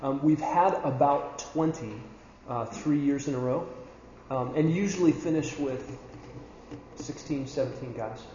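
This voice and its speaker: Fairly high-pitched male speech at a very slow pace, with long, frequent pauses and audible room echo. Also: ordinary pitch variation. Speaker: church leadership trainer. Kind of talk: talk to a men's training group. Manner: loud, sounds angry when raised.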